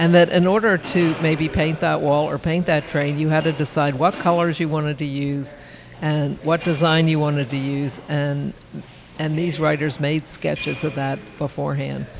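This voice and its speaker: Over noticeable background noise, a speaker with an American accent talks at a moderate pace with fairly even intonation. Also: woman, very deep, low pitch for a woman. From Baltimore, US. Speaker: photojournalist. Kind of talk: casual interview. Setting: event venue.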